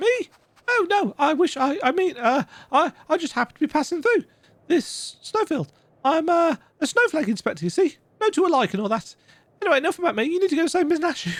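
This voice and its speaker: The voice is a squeaky, put-on character voice. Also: man, extremely high pitch for a man, fairly quick pace. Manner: nervous, evasive, comedic.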